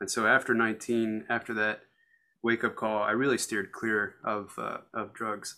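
At a moderate pace, a man with an American accent speaks at a medium pitch in a bright, sharp tone with monotone, flat intonation. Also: very clean recording, silent background. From US, Colorado. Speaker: recovering alcoholic. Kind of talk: casual chat. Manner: halting, many repeated words.

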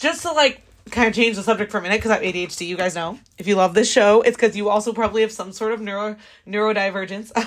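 A woman's fairly high-pitched voice at a very fast pace, with ordinary pitch variation. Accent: American. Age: 20s. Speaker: podcast host and singer-songwriter. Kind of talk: casual solo podcast monologue. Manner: animated, casual, profane.

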